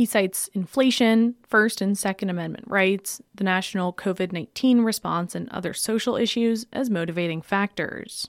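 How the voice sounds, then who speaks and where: A woman with an unremarkable speaking voice talks at a medium pitch with ordinary pitch variation and hardly any pauses. The recording is very clean with a silent background and a dry, close sound with no echo. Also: moderate pace. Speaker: radio reporter. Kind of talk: formal newsreading, brisk and even. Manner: formal; even-toned.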